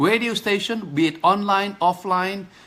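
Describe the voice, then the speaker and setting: A man with a high pitch and a bright, sharp tone uses a raised, projected voice at a fairly slow pace. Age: 50s. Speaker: physical therapist and kidney patient. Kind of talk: Facebook live appeal. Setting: live stream. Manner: halting, repeated stutter-like restarts; animated, pleading.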